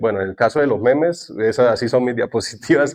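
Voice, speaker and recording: A man speaks with lively intonation in a Santander Colombian accent. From Colombia, Santander. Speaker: cloud architect and tech content creator. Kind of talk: conference talk.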